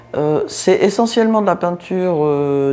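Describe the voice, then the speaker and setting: A woman talks at a fairly slow pace. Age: 60s. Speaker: art restorer. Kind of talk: interview testimony. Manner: hesitant, many fillers.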